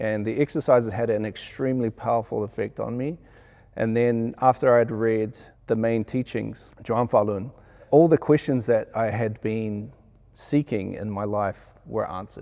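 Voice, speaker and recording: Delivered at a moderate pace in a New Zealand accent, the dark, mellow voice keeps a fairly even intonation over a very clean recording with a silent background. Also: man, medium pitch for a man. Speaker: sound engineer. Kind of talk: interview.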